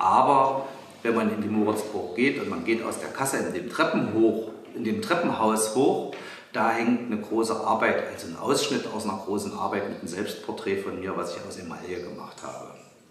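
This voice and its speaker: A man at a moderate pace with ordinary pitch variation, big swings in loudness and audible room echo. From Halle, Saxony-Anhalt, eastern Germany. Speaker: visual artist. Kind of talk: interview answering children's questions. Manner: halting, with frequent repetitions and fillers. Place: workshop.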